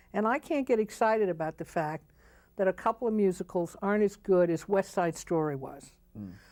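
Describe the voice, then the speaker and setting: A woman with an unremarkable speaking voice, in an American accent, talks at a fairly quick pace and medium pitch with lively intonation, in a dry, close, very clean recording with no echo and a silent background. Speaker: Broadway producer. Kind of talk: interview answer, opinionated and candid. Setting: TV talk show studio.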